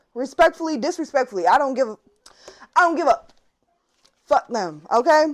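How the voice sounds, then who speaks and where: A woman shouts loudly at a moderate pace, her high voice swinging very widely in pitch with an animated tone. She leaves long, frequent pauses. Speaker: tarot reader. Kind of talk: tarot reading monologue. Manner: loud, yelling.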